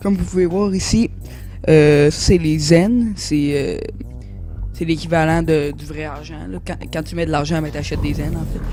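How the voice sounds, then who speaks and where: The speaker, with a Quebec accent, talks at a fairly slow pace. Music is playing in the background. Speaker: gaming youtuber. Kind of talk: game review commentary. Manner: hesitant, many fillers.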